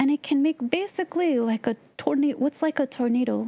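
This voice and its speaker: A woman with an American accent talks at a high pitch with lively intonation. The sound is dry and close, with no echo. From Southern California. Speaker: game streamer. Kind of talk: casual live-stream chat. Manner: animated, reacting to chat.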